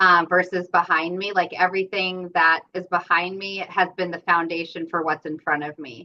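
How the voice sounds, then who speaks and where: A woman with an American accent speaks at a fairly low pitch in a flat monotone. She keeps a moderate pace with hardly any pauses. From US, New York. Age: 40s. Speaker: cult survivor and speaker. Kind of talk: podcast interview.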